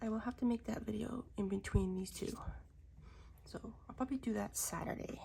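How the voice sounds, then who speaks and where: A woman's whispering at a fairly quick pace, broken by long, frequent pauses. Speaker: diamond painting content creator. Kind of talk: casual crafting vlog. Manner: casual, chatty.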